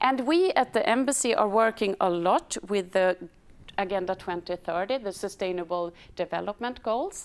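With a Swedish accent, a woman speaks at a medium pitch and a moderate pace. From Sweden. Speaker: embassy department head, moderator. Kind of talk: moderated panel webinar. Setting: studio. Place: hall. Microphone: lapel.

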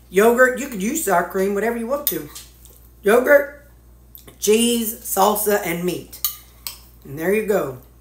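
Lively intonation at a fairly slow pace, with big swings in loudness, long, frequent pauses and audible room echo. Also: woman. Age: 50s. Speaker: diet vlogger. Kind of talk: casual vlog. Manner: animated. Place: kitchen. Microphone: phone near.

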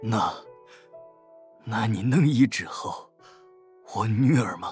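A man uses a put-on character voice at a medium pitch. He speaks at a very slow pace, with faint music in the background. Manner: cautious, hesitant.

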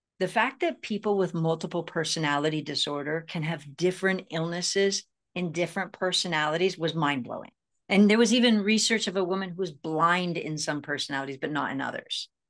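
A woman's fairly low voice at a fairly quick pace, with ordinary pitch variation and a quiet background. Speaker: self-healing speaker and author. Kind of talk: interview. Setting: video call. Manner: halting, repeats words. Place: home room. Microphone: video call.

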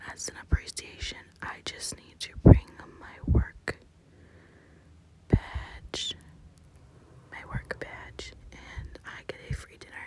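Whispering at a very slow pace, a woman leaves long, frequent pauses, with big swings in loudness. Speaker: ASMR planner content creator. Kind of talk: casual talk to camera, plan-with-me ASMR. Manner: whispered, soft-spoken.

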